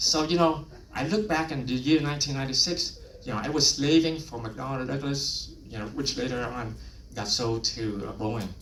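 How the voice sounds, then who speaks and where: Over noticeable background noise, a man with a Vietnamese accent talks at a fairly high pitch. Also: ordinary pitch variation, moderate pace. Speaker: lay preacher. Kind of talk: personal testimony.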